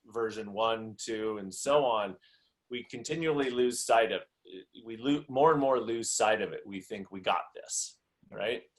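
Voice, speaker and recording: An unremarkable speaking voice from a man, at a fairly slow pace with ordinary pitch variation. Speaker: executive business coach. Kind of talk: interview conversation.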